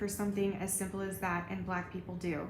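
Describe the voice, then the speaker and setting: Over noticeable background noise and some room echo, a woman talks at a moderate pace with a medium pitch. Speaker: YouTuber. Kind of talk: vlog commentary. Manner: subdued, not bubbly.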